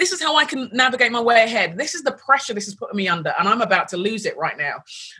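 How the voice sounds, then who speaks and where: A woman with a London accent, high-pitched and bright, sharp in tone, fairly quick, with very wide pitch swings. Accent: British (London). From London, England. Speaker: pastor, author and leadership coach. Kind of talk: interview conversation.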